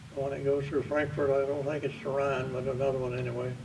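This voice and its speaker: A man's fairly high voice in a Southern US accent, moderate in pace, with audible room echo. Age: 90s. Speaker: war veteran. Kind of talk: storytelling.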